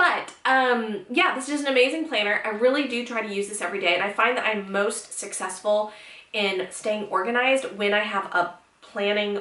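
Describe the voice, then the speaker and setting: A woman speaks at a fairly quick pace and a fairly high pitch. Audible room echo and noticeable background noise fill the recording. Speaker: lifestyle blogger. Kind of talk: casual tutorial vlog. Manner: fast; animated.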